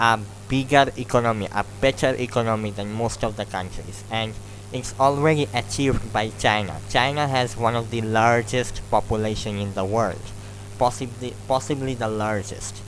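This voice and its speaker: In a Bangladeshi accent, a man speaks with fairly even intonation and a fairly low pitch over noticeable background noise. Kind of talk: extempore speech practice. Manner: slow, clear.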